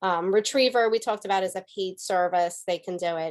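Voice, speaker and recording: A woman speaks at a moderate pace with a medium pitch and fairly even intonation. It is an unremarkable speaking voice over a quiet background. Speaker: environmental committee volunteer presenter. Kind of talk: webinar presentation.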